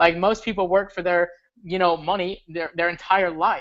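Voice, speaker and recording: At a fairly quick pace, a man speaks in an energetic tone with a high pitch. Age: 20s. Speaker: forex trader and motivational speaker. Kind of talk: live-stream pitch talk. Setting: live online broadcast. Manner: energetic, casual.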